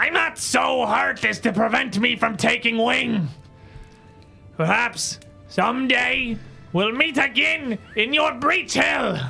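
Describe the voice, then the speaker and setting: A put-on character voice at a fairly high pitch, with clear music in the background. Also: fairly slow pace. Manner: dignified, courteous.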